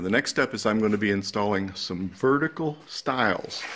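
A man talks at a moderate pace. His pitch sits fairly low with ordinary variation. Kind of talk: tutorial. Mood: calm, satisfied. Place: garage. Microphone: phone near.

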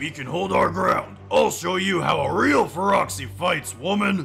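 A man's raspy, put-on character voice, high in pitch, at a moderate pace over clear background music. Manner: boastful, defiant.

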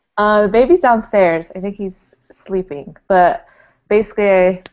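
Over a quiet background, a woman talks at a fairly slow pace. Her pitch shifts in an ordinary way. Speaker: podcast guest. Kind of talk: casual podcast chat. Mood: cheerful, laughing. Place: home room. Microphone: earbuds.

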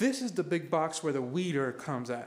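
Light background noise accompanies a man talking at a fairly slow pace. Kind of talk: casual vlog chat. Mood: upbeat, relaxed. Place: garage. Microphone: phone near.

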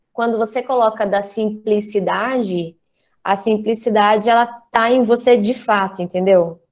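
A woman at a fairly slow pace, fairly even intonation, and a quiet background. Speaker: drama school director, co-host. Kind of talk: casual online chat, moderating questions. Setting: video call. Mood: warm, relaxed. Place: home room. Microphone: earbuds.

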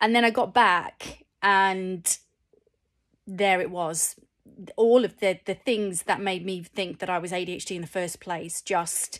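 Against a quiet background, a woman with a northern English accent speaks at a very slow pace. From England, Cheshire; England. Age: 40s. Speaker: vlogger. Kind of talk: personal vlog. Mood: reflective, candid. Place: home room. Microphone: phone near.

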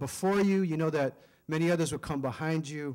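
A man talks at a moderate pace, the background quiet. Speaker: guest. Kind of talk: public speech. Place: hall. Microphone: podium.

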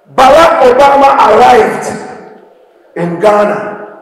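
A man's lively intonation amid audible room echo. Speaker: speaker. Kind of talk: motivational speech to students. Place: hall.

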